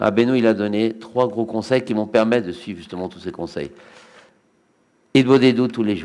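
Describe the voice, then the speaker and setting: A man at a medium pitch speaks with long, frequent pauses, big swings in loudness, and ordinary pitch variation. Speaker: rabbi giving Torah lecture. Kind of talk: religious lecture. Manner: fast; halting, repeats words.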